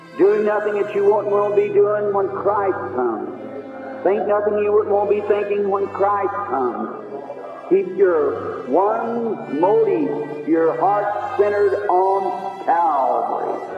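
Over clear music in the background, a man speaks at a very slow pace. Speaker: preacher. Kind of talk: sermon excerpt, preaching. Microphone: old recording.

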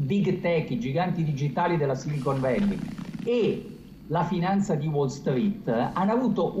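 Speaking at a fairly slow pace, a man uses lively intonation amid light background noise and audible room echo. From Italy. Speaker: US correspondent; foreign correspondent. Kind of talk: live news analysis. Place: home room. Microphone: video call.

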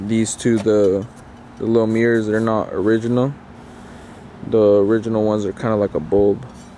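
A man's fairly low voice in a monotone, flat delivery at a moderate pace, dry with no echo, over light background noise. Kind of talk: casual walkaround commentary. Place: street. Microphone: phone near.

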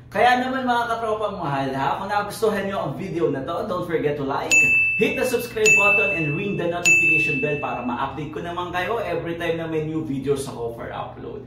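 The speech moves at a fairly quick pace. Room echo is audible, with music playing in the background. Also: man. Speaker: vlogger. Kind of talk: casual vlog chat. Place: home room. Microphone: camera far.

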